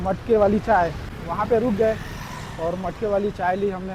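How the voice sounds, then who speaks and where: With ordinary pitch variation, a man talks through noticeable background noise. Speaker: travel vlogger. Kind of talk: travel vlog narration. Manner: casual, conversational.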